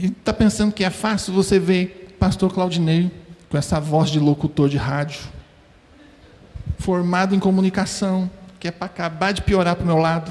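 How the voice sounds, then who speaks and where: A man speaks with a high pitch and fairly even intonation at a moderate pace. He leaves long, frequent pauses. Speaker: preacher. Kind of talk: sermon.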